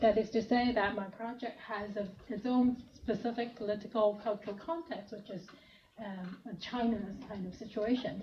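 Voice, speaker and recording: A woman's fairly high voice at a moderate pace, with fairly even intonation, big swings in loudness, audible room echo and noticeable background noise. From Hong Kong. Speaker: professor. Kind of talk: lecture.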